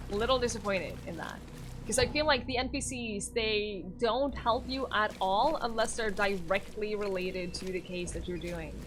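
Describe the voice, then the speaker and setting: Audible room echo surrounds a woman's voice. She speaks at a moderate pace with a medium pitch and ordinary pitch variation. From Norway. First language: Norwegian. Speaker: streamer. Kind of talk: live gaming stream chat. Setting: live stream.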